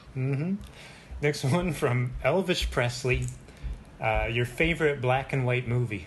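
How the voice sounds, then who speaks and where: Speaking at a fairly slow pace with long, frequent pauses, a man uses a medium pitch and ordinary pitch variation. His voice is somewhat breathy, and his loudness is very even. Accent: American. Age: 30s. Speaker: podcast host. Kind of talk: casual chat.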